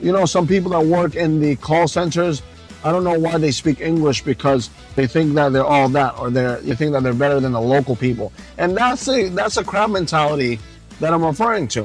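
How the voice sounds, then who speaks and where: A man's voice sits fairly high in pitch. Behind him, music is playing. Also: moderate pace, very even loudness. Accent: New York. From Long Island, New York. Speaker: vlogger. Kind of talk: casual talk to camera while driving. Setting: in a car. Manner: impromptu, conversational.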